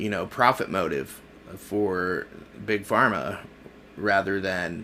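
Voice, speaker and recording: Speaking very slowly with an American accent, a man has a bright, sharp tone. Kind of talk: casual political commentary to camera. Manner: hesitant, many filler words.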